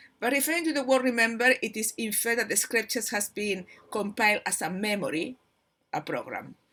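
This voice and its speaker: With a Spanish accent, a woman speaks fairly quickly in a bright, sharp tone at a fairly high pitch, her voice making very wide pitch swings in a very clean recording with a silent background. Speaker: spiritual channel host. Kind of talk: informal spiritual talk, partly reading. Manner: halting, many fillers and repetitions.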